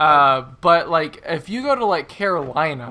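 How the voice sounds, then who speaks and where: With an American accent, a woman speaks in a bright, sharp tone and lively intonation. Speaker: video game let's-play commentator. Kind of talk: casual chat.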